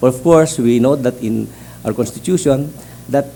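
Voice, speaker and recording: A man speaks at a very fast pace. His voice sits at a medium pitch with a dark, mellow tone. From Philippines, Mindanao. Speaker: judicial candidate, appellate justice. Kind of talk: job interview. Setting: hearing room. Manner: halting.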